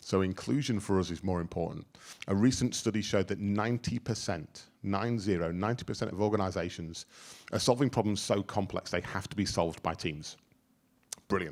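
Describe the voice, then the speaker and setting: On a very clean recording with a silent background, a man with a fairly low pitch and ordinary pitch variation speaks at a fairly quick pace. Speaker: workplace futurist, speaker. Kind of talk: workshop talk. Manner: loud; animated.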